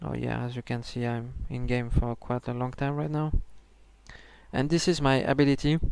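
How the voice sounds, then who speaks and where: A man with a non-native accent speaks at a medium pitch, recorded very cleanly against a silent background. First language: not English. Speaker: gaming video creator. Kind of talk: tutorial. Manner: halting, many fillers and restarts.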